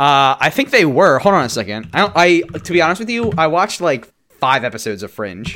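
On a very clean recording with a silent background, a man talks at a fairly high pitch with a bright, sharp tone. His voice has vocal fry and very wide pitch swings. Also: fairly quick pace. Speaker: comedy podcast co-host. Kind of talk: casual chat. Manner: sounds like always about to make a joke.

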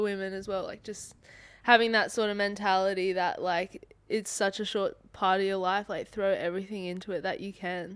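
A woman's medium-pitched voice in an Australian accent, monotone and flat, on a very clean recording with a silent background. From Sydney, Australia. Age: 20s. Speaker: professional footballer. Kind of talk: casual chat.

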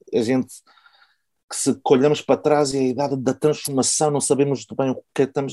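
With a slight Porto accent, a man talks at a fairly quick pace in a fairly high pitch, his tone dark and mellow and the sound dry and close with no echo. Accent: little Porto. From Porto, northern Portugal. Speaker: podcast host. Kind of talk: interview.

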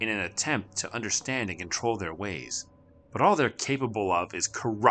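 A natural reading voice, its pitch rising and falling in ordinary fashion

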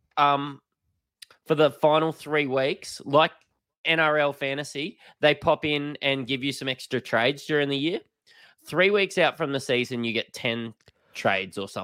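A man with an Australian accent, fairly high-pitched, at a moderate pace with long, frequent pauses, on a very clean recording with a silent background and a dry, close sound with no echo. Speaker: fantasy sports podcast co-host. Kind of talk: casual chat.

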